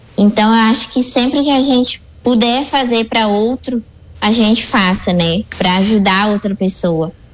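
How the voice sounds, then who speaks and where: A woman with an unremarkable speaking voice, fairly high in pitch, with very even loudness and a moderate pace. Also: ordinary pitch variation. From Rio Grande do Sul, Brazil. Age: 20s. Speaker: preschool teacher. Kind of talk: radio interview. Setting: radio studio.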